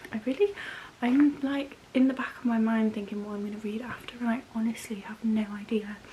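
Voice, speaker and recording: A woman with an English accent, fairly high in pitch, at a moderate pace, with fairly even intonation, big swings in loudness and noticeable background noise. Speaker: book vlogger. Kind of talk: casual vlog. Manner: soft-spoken.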